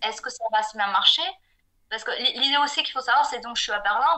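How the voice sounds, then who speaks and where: Her voice is high-pitched. The woman talks very fast. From southwestern France (Pau). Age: 40s. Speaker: freelance graphic designer. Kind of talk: podcast interview. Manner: hesitant, many fillers and repetitions.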